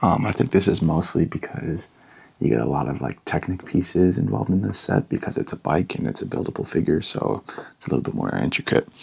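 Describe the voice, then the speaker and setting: The speaker is soft-spoken, with vocal fry and very wide pitch swings. The pace is fairly quick. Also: man, very deep, low pitch for a man. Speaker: LEGO ASMR creator. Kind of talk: ASMR product talk.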